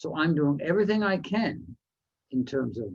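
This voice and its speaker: A man speaks at a moderate pace with lively intonation and vocal fry. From Canada, New Westminster, British Columbia. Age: 70s. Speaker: motivational speaker. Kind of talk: speech.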